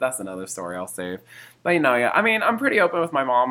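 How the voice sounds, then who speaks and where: Bright and sharp in tone, a man talks at a very fast pace. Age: 20s. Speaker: podcast co-host. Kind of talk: casual chat.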